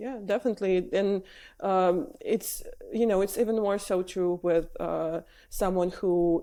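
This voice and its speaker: In a very clean recording with a silent background, a woman with a dark, mellow tone speaks with ordinary pitch variation. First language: not English. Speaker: wrestling journalist and presenter. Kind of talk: podcast interview.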